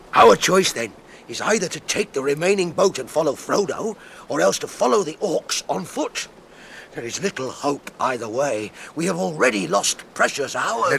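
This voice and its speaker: A man speaks in a put-on character voice at a fairly high pitch and a moderate pace. Clear background noise is present. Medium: audio drama. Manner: blunt, gruff.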